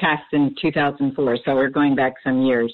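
An American accent marks this woman's speech. She talks at a moderate pace. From New Jersey, Camden. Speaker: caller. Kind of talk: phone-in call. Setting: phone call.

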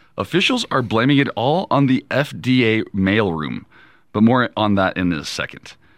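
An unremarkable speaking voice, a man talks at a fairly slow pace and medium pitch with lively intonation, in a very clean recording with a silent background. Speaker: radio co-host. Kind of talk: casual chat and news reading.

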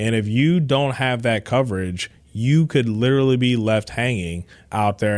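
Using a normal speaking voice, a man with an American accent talks at medium pitch with ordinary pitch variation. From Cleveland area, Ohio. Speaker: insurance executive. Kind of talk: radio interview.

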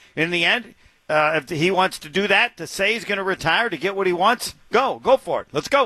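A man with an American accent, high-pitched, bright and sharp in tone, raised and projected, with lively intonation, a fairly quick pace and big swings in loudness, in a dry, close, echo-free recording over a quiet background. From Indiana. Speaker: sports radio host. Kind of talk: casual sports talk radio.

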